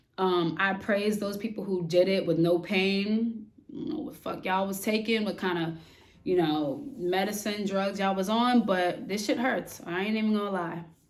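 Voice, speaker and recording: A woman speaks at medium pitch and moderate pace with ordinary pitch variation. Audible room echo surrounds her voice. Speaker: vlogger and army service member. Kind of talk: casual Q&A vlog.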